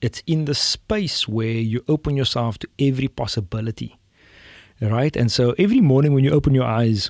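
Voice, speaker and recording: Speaking at a fairly quick pace with a South African accent, a man at a medium pitch shows ordinary pitch variation on a very clean recording with a silent background and a dry, close sound with no echo. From South Africa, Cape Town. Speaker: tech entrepreneur. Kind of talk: podcast interview. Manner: animated.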